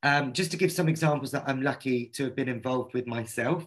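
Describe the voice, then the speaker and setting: The speaker is a man with a medium pitch. His pitch varies in an ordinary way. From London, England. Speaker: activist and artist. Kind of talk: online panel discussion. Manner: fast.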